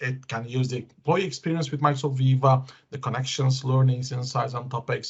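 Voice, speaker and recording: A man speaks with a non-native accent in a somewhat breathy voice. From Belgium. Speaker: tech conference speaker. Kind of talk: tech presentation with demos. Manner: hesitant, many fillers.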